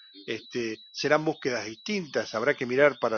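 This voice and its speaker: A man speaks with a Rioplatense accent at a moderate pace. His intonation is lively. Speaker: radio host. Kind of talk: interview. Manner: halting.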